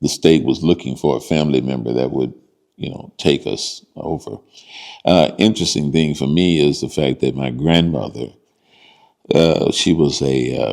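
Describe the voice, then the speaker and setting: In an American accent, a man with a very deep, low pitch and vocal fry speaks at a moderate pace with ordinary pitch variation. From southern Illinois (Cairo). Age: 70s. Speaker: police dispatcher, oral history interviewee. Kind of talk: oral history interview. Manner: halting, many fillers.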